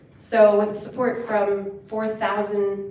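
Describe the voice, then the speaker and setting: Noticeable background noise mixes with audible room echo in this recording. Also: woman. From Virginia, US. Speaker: conservation nonprofit founder. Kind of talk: conference presentation.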